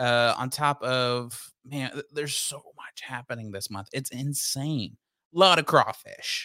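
Speaking with an American accent in a bright, sharp tone at a medium pitch, a man talks at a fairly slow pace with ordinary pitch variation and big swings in loudness, in a very clean recording with a silent background. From Texas, Denton. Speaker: podcast co-host reviewing beer and movies. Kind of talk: casual chat.

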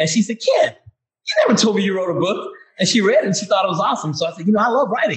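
A man talks with a Mississippi accent. His pace is very fast. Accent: Southern US (Mississippi). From US South, Vicksburg, Mississippi. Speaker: author and retired Air Force medic and nurse. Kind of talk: interview.

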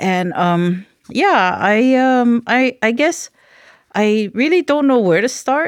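In a Hawaiian accent, a woman speaks at a very slow pace with high pitch, very wide pitch swings and very even loudness. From Hawaii, Maui. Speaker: cultural researcher and practitioner. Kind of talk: casual interview.

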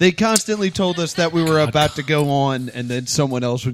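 With a normal speaking voice that is fairly high, a man talks at a fairly quick pace with lively intonation. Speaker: podcast host. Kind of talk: casual comedy podcast chat. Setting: recorded live in a mall venue.

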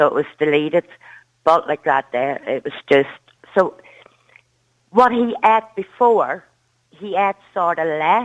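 Speaking in a strong Derry accent, a woman uses lively intonation. Her pace is fairly slow, with long, frequent pauses. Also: medium pitch for a woman. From Northern Ireland, Derry. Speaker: caller, mother. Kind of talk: phone-in radio call.

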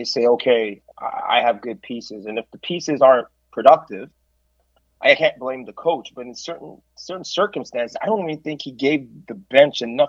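A man with a medium-pitched voice speaks at a moderate pace in a normal speaking voice, his loudness swinging widely, in a dry, close recording with no echo. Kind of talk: casual sports talk podcast.

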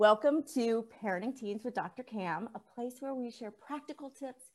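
In an ordinary speaking voice, this woman's fairly high pitch rises and falls in an ordinary way as she keeps a moderate pace. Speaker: podcast host. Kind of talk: casual interview.

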